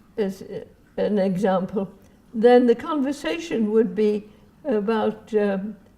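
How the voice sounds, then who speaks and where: Over noticeable background noise, a woman speaks at a very slow pace. Her pitch is fairly high, with ordinary pitch variation. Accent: English. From England. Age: 80s+. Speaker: retired social worker. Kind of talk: interview answer.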